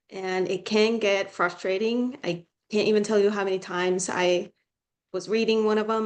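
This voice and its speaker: In a Finnish accent, a woman talks at a moderate pace with fairly even intonation. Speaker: student tutor. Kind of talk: casual advice talk.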